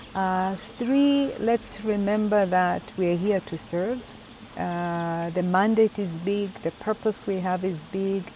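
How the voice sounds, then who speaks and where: A woman with an East African accent speaks at a very slow pace in a medium pitch, her intonation fairly even, over noticeable background noise. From Tanzania. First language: Swahili. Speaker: UN agency executive. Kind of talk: interview. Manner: hesitant fillers.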